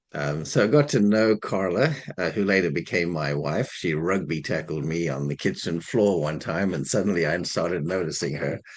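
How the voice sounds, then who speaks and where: This man has a South African accent and a very deep, low pitch. He talks at a moderate pace with ordinary pitch variation. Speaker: minister. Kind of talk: interview.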